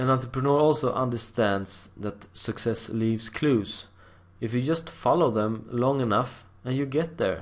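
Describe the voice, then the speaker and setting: A man with a non-native accent speaks at a fairly slow pace. His pitch is medium, with ordinary pitch variation. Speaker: internet marketer. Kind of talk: tutorial. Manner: halting, with repetitions.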